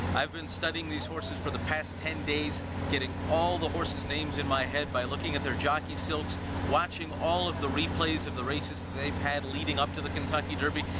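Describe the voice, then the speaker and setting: A man talks at a fairly quick pace over loud background noise. The sound is dry with no echo. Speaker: horse race caller. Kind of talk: interview answer. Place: street. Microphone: phone near.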